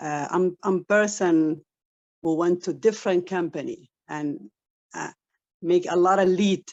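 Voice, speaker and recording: A woman with an Arabic accent, fairly low in pitch, at a moderate pace and with fairly even intonation. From Saudi Arabia, Somali family. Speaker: online business member. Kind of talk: testimony. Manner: halting.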